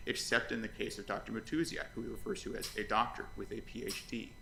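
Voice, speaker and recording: With audible room echo, a man talks at a very fast pace. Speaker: lawyer. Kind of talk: oral argument in court.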